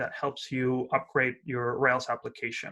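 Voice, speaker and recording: On a very clean recording with a silent background, a man speaks at a fairly slow pace in a bright, sharp tone. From Argentina. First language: Spanish. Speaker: software company founder, conference speaker. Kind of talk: tech talk. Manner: hesitant, many fillers.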